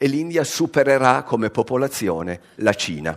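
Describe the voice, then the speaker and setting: At a moderate pace, a man is talking. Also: quiet background. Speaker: science journalist. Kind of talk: lecture. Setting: stage with audience. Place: hall.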